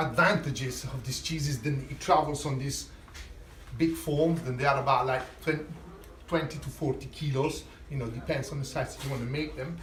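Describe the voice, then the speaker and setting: A man with an Italian accent speaks at a moderate pace in a fairly high pitch. He takes long, frequent pauses, and there is noticeable background noise. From Italy. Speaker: chef. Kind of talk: cooking masterclass talk. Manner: casual, hesitant.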